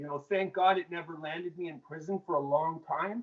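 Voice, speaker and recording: A man's fairly high voice at a moderate pace. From Canada, Mississauga, Ontario. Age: 30s. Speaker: former drug dealer in recovery. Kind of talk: interview storytelling. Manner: casual, filler-heavy speech.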